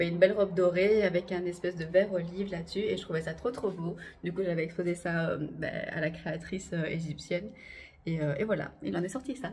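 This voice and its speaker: A fairly quick delivery from a woman with a fairly low voice. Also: ordinary pitch variation. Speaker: belly dancer and vlogger. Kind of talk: casual vlog to camera. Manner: fast; hesitant, many fillers.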